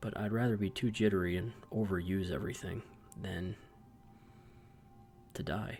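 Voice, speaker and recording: A man whispers quietly, somewhat breathy, at a moderate pace. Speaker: gaming video commentator. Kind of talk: gameplay commentary. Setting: at home late at night. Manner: whispering, quiet.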